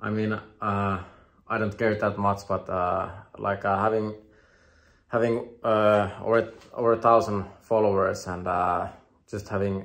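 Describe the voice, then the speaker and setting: Speaking at a fairly slow pace, a man with a fairly low voice keeps his intonation flat and monotone. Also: quiet background. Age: 30s. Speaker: skateboarding vlogger. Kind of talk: solo vlog monologue. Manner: halting, many repetitions.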